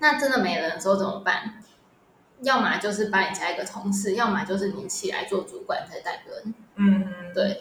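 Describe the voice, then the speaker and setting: Someone with a Taiwanese accent speaks at a moderate pace against noticeable background noise. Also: woman. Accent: Taiwanese Mandarin. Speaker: retail product manager. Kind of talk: casual interview. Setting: remote recording.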